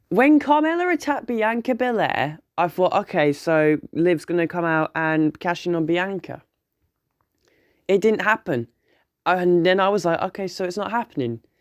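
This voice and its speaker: The speaker has a British accent. Long pauses come frequently. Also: very clean recording, silent background. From UK. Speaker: wrestling reviewer, YouTuber. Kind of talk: casual video review. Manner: animated.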